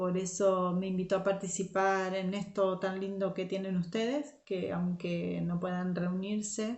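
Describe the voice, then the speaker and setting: A woman with an Argentine accent speaks at a fairly slow pace and medium pitch, in a monotone, flat intonation with hardly any pauses. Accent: Argentine, largely kept. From Argentina (Zárate, Buenos Aires). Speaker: youth Bible teacher. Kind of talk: Bible study talk.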